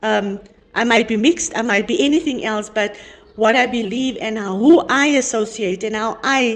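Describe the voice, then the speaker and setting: Noticeable noise sits in the background. Over it, a woman talks at a fairly high pitch. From South Africa, coloured community. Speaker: panel discussion participant. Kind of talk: group discussion. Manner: halting, with repeated words.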